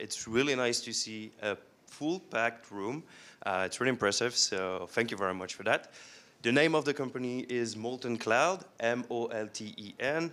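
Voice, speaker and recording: Moderate in pace, a man with a French accent uses a bright, sharp tone at a medium pitch with ordinary pitch variation. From France. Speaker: software company representative. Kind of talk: conference presentation. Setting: stage with audience. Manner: frequent hesitations (uh).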